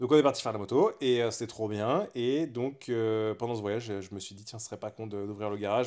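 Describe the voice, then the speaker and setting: With fairly even intonation and a fairly quick pace, a man talks in a normal speaking voice on a very clean recording with a silent background. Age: 30s. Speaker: podcast co-host, motorcycle workshop owner. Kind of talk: casual chat. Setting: at home on a couch.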